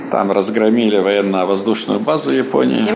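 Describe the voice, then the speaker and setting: Noticeable background noise sits behind a man who speaks fairly slowly. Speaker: museum guide. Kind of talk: interview tour talk. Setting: in a museum.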